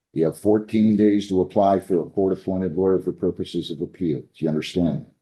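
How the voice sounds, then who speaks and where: A man with an American accent talks at a very fast pace. His pitch is very deep and low. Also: fairly even intonation. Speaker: judge. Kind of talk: courtroom proceedings. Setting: courtroom. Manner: soft-spoken.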